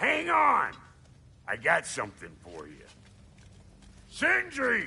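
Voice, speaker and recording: A man's put-on character voice at a fairly slow pace. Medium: video game.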